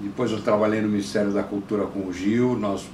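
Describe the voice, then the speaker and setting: A man is speaking with audible room echo. Noticeable background noise is present too. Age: 70s. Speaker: counterculture activist and producer. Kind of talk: interview testimony. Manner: halting with frequent repetitions.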